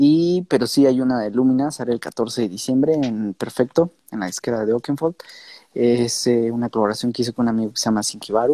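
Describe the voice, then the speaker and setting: On a very clean recording with a silent background and a dry, close sound with no echo, a man with a Mexican accent talks at a fairly quick pace, his medium-pitched voice dark and mellow with ordinary pitch variation. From Mexico. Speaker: DJ and music producer. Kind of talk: casual interview.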